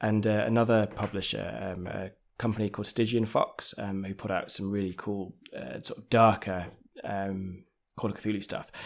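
In a very clean recording with a silent background, a man speaks at a moderate pace with an English accent. His pitch is fairly low and his intonation fairly even. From England. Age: 30s. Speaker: podcast game master. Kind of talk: casual interview.

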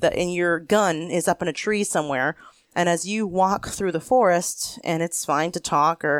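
A woman with an American accent speaks at a moderate pace in an ordinary speaking voice, her pitch fairly low with ordinary variation. The recording is very clean and silent in the background, with a dry, close sound and no echo. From Pennsylvania. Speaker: homesteader, author and falconer. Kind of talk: casual interview. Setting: seated on her farm.

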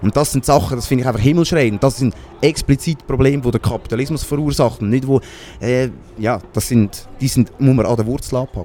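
Over noticeable background noise, a man speaks at a fairly quick pace. His medium pitch shows ordinary variation. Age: 20s. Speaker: spokesperson of a socialist movement. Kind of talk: interview.

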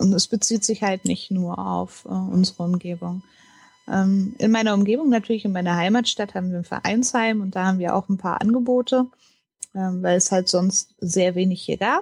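A somewhat breathy woman speaks at a medium pitch with fairly even intonation, the sound dry and close with no echo. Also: moderate pace. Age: 30s. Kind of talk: interview. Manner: hesitant, many fillers.

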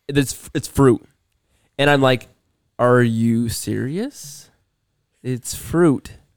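Pausing long and often, a man with a medium-pitched voice speaks at a very slow pace with ordinary pitch variation. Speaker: podcast co-host. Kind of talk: casual chat.

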